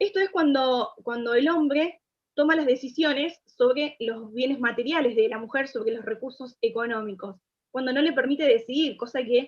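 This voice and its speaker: Ordinary pitch variation at a moderate pace. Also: woman, high pitch for a woman. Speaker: pro-life speaker. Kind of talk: lecture.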